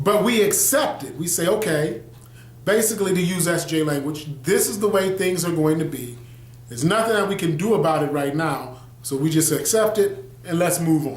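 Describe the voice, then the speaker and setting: A man with an American accent talks fairly quickly at a high pitch with lively intonation. Noticeable background noise and audible room echo surround his voice. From US Midwest, Detroit, Michigan. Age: 40s. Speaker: pastor and video blogger. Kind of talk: casual video monologue.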